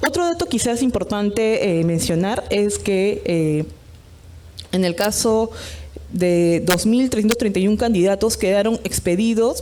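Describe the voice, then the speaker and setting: A woman with an unremarkable speaking voice talks at a fairly slow pace, her medium pitch moving in lively intonation. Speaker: electoral official presenter. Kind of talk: conference presentation.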